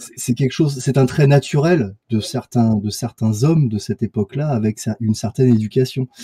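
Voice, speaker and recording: This man's medium-pitched voice has a dark, mellow tone and a somewhat breathy quality, recorded with a dry, close sound and no echo. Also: ordinary pitch variation, moderate pace. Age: 40s. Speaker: sculptor. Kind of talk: casual chat. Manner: halting.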